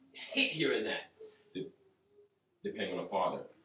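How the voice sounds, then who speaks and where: A man speaks at a fairly quick pace. There is audible room echo and light background noise. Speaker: pastor, preacher. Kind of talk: sermon. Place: home room. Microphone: camera far.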